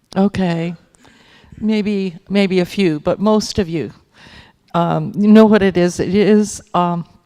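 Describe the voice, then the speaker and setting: Long, frequent pauses mark a woman's very slow speech at a medium pitch with fairly even intonation. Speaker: librarian presenter at a conference. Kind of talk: conference presentation. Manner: halting, many fillers.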